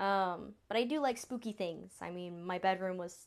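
A woman speaks with a slight Southern US accent over a quiet background. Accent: slight Southern drawl. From US South. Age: 20s. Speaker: podcast host. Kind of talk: casual monologue.

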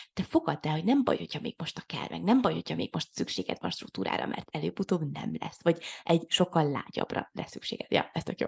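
Very fast speech with vocal fry, a dry, close sound with no echo and a quiet background. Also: woman. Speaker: podcast co-host. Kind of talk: casual chat. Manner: halting.

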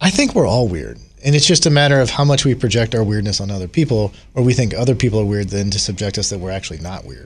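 A man talks at a very fast pace with a fairly low pitch and a somewhat breathy voice. His intonation is lively. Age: 40s. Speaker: host's husband. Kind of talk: casual chat.

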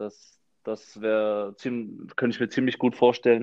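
A man's medium pitch with monotone, flat intonation. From Frankfurt, Hesse, Germany. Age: 20s. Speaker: professional footballer. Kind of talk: casual chat.

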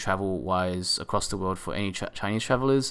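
A man with an Australian accent, ordinary pitch variation, and a very clean recording with a silent background. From Australia, Sydney. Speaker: podcast host, marketing manager. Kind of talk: solo podcast monologue. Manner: hesitant, many fillers.

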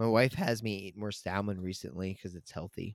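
A man talks at a moderate pace with an American accent, his pitch fairly low. It is a normal speaking voice on a very clean recording with a silent background. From US Mid-Atlantic, Maryland. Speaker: podcast host. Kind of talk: casual chat.

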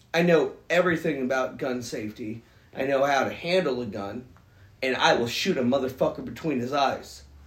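A somewhat breathy man's voice of medium pitch, fairly quick in pace, with ordinary pitch variation. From Alaska. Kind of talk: casual chat. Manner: animated.

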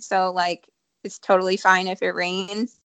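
A woman with an American accent speaks at a moderate pace in a medium pitch, her tone bright and sharp. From Ohio. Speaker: podcast host and school teacher. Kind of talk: casual chat.

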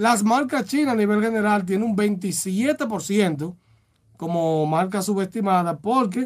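This is a very clean recording with a silent background. A man with a high pitch speaks in a Dominican accent. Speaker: radio host. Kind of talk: casual radio talk show.

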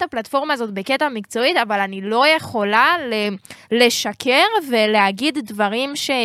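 Bright and sharp in tone, a woman talks at a fairly high pitch with ordinary pitch variation in a dry, close sound with no echo. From Israel, Jerusalem. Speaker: rapper and music marketing advisor. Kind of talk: casual chat. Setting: studio.

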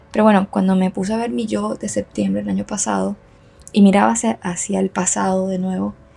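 A woman speaks at medium pitch and a fairly quick pace, with little pitch movement. Her tone is dark and mellow, with vocal fry and a slightly husky edge.

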